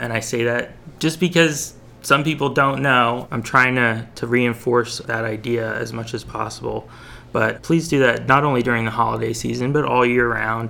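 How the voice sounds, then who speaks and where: Vocal fry runs through this man's bright, sharp tone at a medium pitch. He keeps a moderate pace and fairly even intonation. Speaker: local news podcast host and publisher. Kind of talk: news roundup and interview.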